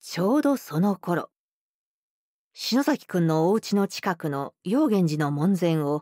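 The voice swings very widely in pitch at a fairly slow pace, with a dark, mellow tone. The sound is dry with no echo over a quiet background. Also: woman. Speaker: professional voice actor narrator. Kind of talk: audiobook narration of a classic detective story for young readers.

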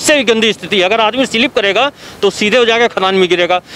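Speaking at a moderate pace with ordinary pitch variation, a man with a high pitch is heard in a dry recording with no echo and light background noise. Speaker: field news reporter. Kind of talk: news field report commentary. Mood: critical, indignant. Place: open country. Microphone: handheld.

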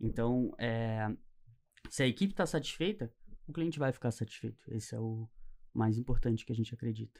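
Speaking at a fairly quick pace, a medium-pitched man uses ordinary pitch variation and long, frequent pauses. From Niterói, Rio de Janeiro, Brazil; Rio de Janeiro, Brazil. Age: 20s. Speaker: entrepreneur; podcast guest. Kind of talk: interview. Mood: relaxed, reflective. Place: studio. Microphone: studio mic.

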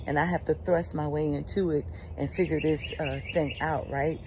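Over noticeable background noise, a woman with a warm tone speaks at a fairly quick pace. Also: dry sound with no echo. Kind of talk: fervent prayer and declaration, devotional monologue. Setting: outdoors, birds chirping. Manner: earnest, emphatic, repeating phrases; uplifting, warm, conversational. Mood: warm, encouraging. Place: garden. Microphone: phone near.

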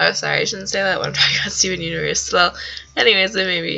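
A woman speaks over noticeable background noise. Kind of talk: casual vlog talk to camera. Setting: webcam recording, noisy. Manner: rambling, casual.

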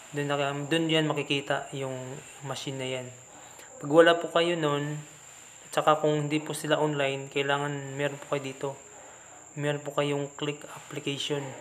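The voice speaks at a moderate pace in a flat monotone, with long pauses coming often. Light noise sits in the background. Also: man, fairly high pitch for a man. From Philippines. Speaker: YouTube tutorial creator; app tutorial host. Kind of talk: screen-recorded app tutorial. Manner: halting, frequent fillers. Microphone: phone near.

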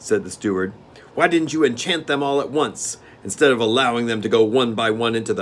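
The speaker reads in a natural reading voice. That voice stays the same all the way through.

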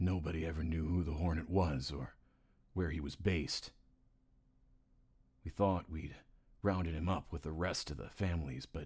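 Speaking at a moderate pace with fairly even intonation, a man's very deep, low voice is heard on a very clean recording against a silent background. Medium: voice reel. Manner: folksy, politician's confidence.

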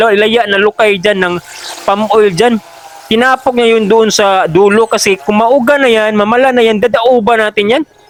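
A man's high-pitched voice at a moderate pace, with ordinary pitch variation, a dry, close sound with no echo, and noticeable background noise. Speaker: farm vlogger. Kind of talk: voice-over narration. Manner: halting.

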